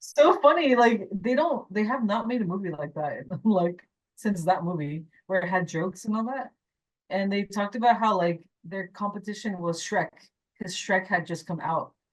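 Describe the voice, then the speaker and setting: At a moderate pace, a woman of medium pitch speaks with lively intonation. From California, Mexican American. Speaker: animation character designer and story artist. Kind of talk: casual Q&A conversation. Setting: club speaker event with live audience. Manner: halting, with filler words.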